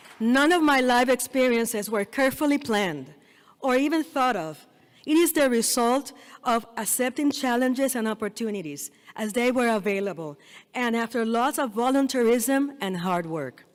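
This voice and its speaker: With a Spanish accent, a woman speaks in a high voice with lively intonation. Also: moderate pace. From Puerto Rico. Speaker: dental school dean, keynote speaker. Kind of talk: commencement speech. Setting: stage with audience.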